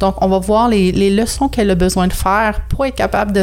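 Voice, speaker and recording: Over noticeable background noise, a woman speaks fairly quickly at a medium pitch. Her intonation stays fairly even. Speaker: astrologer and personal development consultant. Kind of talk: podcast interview. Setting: video call.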